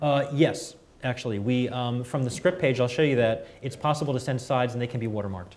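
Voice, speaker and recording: At a very fast pace, a man speaks at medium pitch with ordinary pitch variation and audible room echo. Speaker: software company presenter. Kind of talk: product demo at industry event. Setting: conference room with audience.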